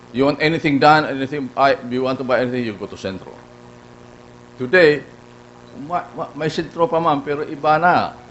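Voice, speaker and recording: Over noticeable background noise, a man with a Filipino accent speaks at a fairly quick pace in a fairly high voice with ordinary pitch variation, leaving long, frequent pauses. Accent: Filipino (Bicolano) English. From Philippines, Bicol region (Naga). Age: 80s+. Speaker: award honoree speaker. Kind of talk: speech at awards ceremony. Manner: halting, many restarts.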